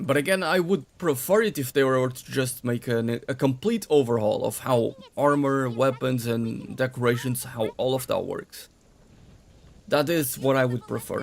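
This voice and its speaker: A man with a strong Portuguese accent, ordinary pitch variation and a moderate pace. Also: medium pitch for a man. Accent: heavy Portuguese. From Portugal. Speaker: gaming streamer. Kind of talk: live stream commentary while playing.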